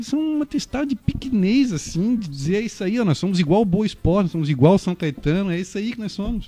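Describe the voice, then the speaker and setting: A man speaks very fast with hardly any pauses. His pitch is high and his intonation lively. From Brazil, Florianópolis. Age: 30s. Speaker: football stats commentator. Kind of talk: casual chat.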